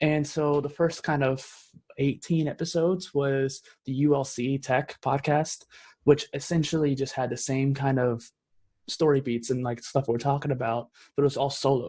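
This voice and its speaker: On a very clean recording with a silent background, a man speaks at a fairly high pitch in a dark, mellow, somewhat breathy tone with monotone, flat intonation. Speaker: podcaster and entrepreneur. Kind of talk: podcast conversation. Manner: fast.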